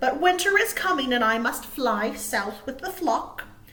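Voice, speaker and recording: A woman puts on a high-pitched character voice at a moderate pace. Light background noise can be heard. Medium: read story.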